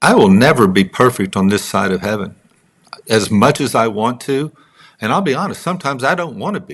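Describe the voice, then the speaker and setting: A man with a Texas accent talks at a fairly quick pace. His pitch swings very widely. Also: medium pitch for a man. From Texas, Midland. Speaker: songwriter and author. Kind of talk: interview conversation.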